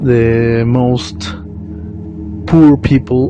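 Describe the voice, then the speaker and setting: A man with a Mexican accent speaks at a medium pitch with lively intonation, with music playing in the background. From Mexico. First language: Spanish. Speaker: vlogger. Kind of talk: monologue reflection. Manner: halting.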